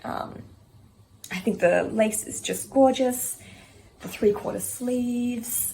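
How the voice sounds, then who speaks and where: A woman with an Australian accent speaks at a fairly high pitch. Her intonation is fairly even. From Australia, Sydney. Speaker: knitting vlogger. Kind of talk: casual show-and-tell vlog. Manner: casual, with frequent filler ums. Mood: calm, fond. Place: home room. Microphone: quiet audio from a filming error; phone near.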